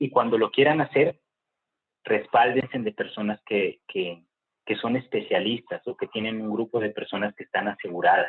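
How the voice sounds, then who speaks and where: A man's normal speaking voice, medium in pitch, at a moderate pace. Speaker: agricultural industry professional, guest speaker. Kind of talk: guest talk to university class, Q&A.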